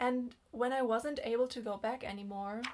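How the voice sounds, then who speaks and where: With a non-native accent, a woman speaks at a fairly slow pace and a fairly high pitch, her intonation fairly even. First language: not English. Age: 20s. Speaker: dating and relationship vlogger. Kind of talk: personal storytelling monologue. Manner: casual, hesitant with fillers.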